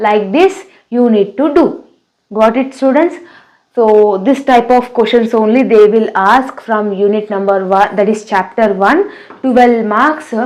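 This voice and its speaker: A woman's fairly high voice in an Indian accent, at a fairly slow pace with ordinary pitch variation. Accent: Indian English, Telugu. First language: Telugu. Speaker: teacher. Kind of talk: tutorial.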